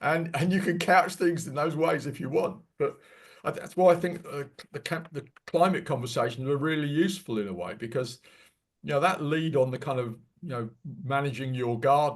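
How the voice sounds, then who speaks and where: A somewhat breathy man talks at a moderate pace, his fairly high pitch moving with ordinary variation. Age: 70s. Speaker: environmental presenter, retired marine specialist. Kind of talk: Q&A discussion after presentation. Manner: halting, many repetitions.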